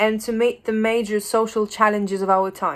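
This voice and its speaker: This woman has a fairly high pitch. She speaks with a Polish accent. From Poland. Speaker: educator. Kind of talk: lecture. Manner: halting.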